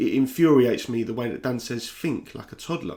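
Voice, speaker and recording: Speaking fairly quickly in a South London accent, a man uses a medium pitch with ordinary pitch variation. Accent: South London accent, th-fronting. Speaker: YouTuber and football podcaster. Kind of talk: personal vlog monologue. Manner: casual, candid.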